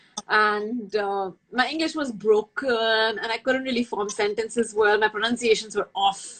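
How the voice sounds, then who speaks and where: A woman with an Indian accent speaks in a fairly high pitch with fairly even intonation. She leaves hardly any pauses. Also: moderate pace. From India, New Delhi. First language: Hindi. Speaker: makeup artist. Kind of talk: casual chat. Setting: video call.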